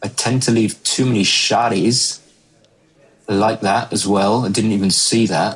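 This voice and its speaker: With noticeable background noise, a man with an English accent speaks at a fairly low pitch, with monotone, flat intonation and very even loudness. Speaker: backgammon commentator. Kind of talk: live commentary. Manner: mumbling; casual, halting.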